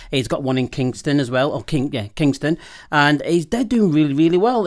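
A man with fairly high pitch and lively intonation talks in an unremarkable speaking voice, recorded very cleanly against a silent background. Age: 50s. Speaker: wine shop owner and host. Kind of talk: casual banter chat.

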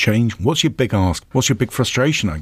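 A man with a fairly low pitch talks in a somewhat breathy voice. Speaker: podcast host and business organisation chief. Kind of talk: interview.

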